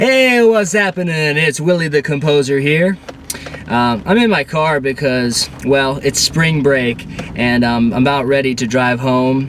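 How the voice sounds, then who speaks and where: A man with a Pennsylvania accent speaks at a fairly high pitch and fairly slow pace, with ordinary pitch variation and very even loudness over noticeable background noise. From Central Pennsylvania. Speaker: vlogger. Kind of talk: casual vlog. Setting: in a car.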